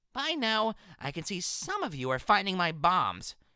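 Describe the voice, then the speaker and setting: A female-sounding voice performs a put-on character voice. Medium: audio drama. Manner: taunting.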